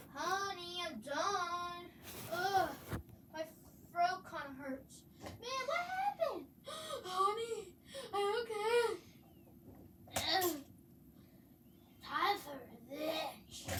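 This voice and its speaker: A cartoonish character voice at an extremely high pitch moves at a very slow pace with long, frequent pauses over clear background noise. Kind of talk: puppet skit with several voices.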